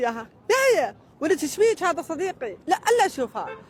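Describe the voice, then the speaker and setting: An animated voice with very wide pitch swings, dry and close with no echo. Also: man. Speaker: interviewee. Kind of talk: casual chat. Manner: animated storytelling.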